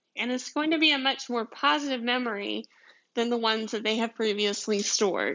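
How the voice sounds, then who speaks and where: A woman with a strong Southern US accent, fairly high pitch, ordinary pitch variation and a fairly quick pace. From deep south Georgia, US. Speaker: podcast host, commercial photographer. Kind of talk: casual solo podcast monologue. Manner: chatty, laughing, rambling.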